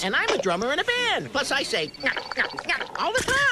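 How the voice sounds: A cartoonish character voice, high-pitched and fairly quick, competes with loud background noise.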